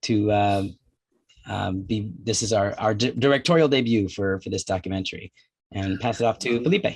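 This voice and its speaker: A man's fairly low, somewhat breathy voice moves at a moderate pace, its pitch varying in an ordinary way. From New Jersey, US. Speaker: documentary filmmaker. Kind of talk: film Q&A.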